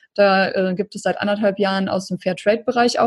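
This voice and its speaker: A woman speaks in a normal speaking voice at a moderate pace. Her intonation is fairly even, and the sound is dry and close with no echo. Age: 30s. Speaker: entrepreneur and life coach. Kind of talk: interview.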